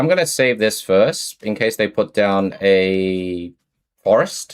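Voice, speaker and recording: A man's fairly low voice at a very slow pace, with lively intonation. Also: very clean recording, silent background. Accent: Australian. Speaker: game streamer. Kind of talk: casual live stream chat. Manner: low-pitched, subdued; casual, halting with restarts.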